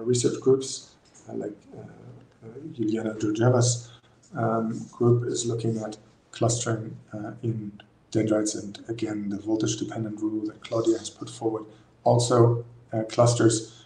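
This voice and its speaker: The room echo is audible. A man talks in a monotone, flat intonation. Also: medium pitch for a man, moderate pace, big swings in loudness. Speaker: neuroscience researcher. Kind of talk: lecture. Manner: halting, many fillers.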